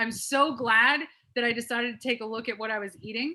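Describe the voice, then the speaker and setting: A woman speaks loudly. Her pitch is high. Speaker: wellness program participant. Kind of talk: testimony. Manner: animated.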